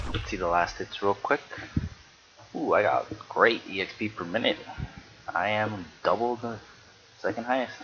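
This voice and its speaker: Moderate-paced speech from a man, broken by long, frequent pauses, over noticeable background noise. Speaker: amateur game commentator. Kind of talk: game replay commentary. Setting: home recording while streaming. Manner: projecting louder than usual.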